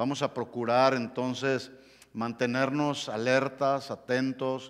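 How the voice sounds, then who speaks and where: At a very slow pace, a man speaks at a medium pitch against a quiet background. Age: 60s. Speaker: pastor. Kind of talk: sermon. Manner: halting. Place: church.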